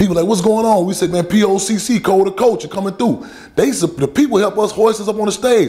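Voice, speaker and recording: The speaker races along at a very fast pace in an animated tone, with an American accent and ordinary pitch variation. Music plays in the background. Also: man, high pitch for a man. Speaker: activist. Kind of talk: public talk answering questions. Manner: animated, repetitive stammering.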